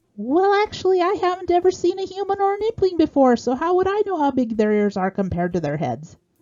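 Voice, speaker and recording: An extremely high-pitched, squeaky put-on character voice from a woman, at a very fast pace with hardly any pauses. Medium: read story. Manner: sly, playful.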